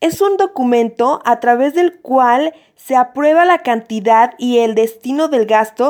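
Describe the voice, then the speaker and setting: The woman's voice is high-pitched. Her pitch swings very widely. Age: 20s. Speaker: law student. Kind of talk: educational explainer.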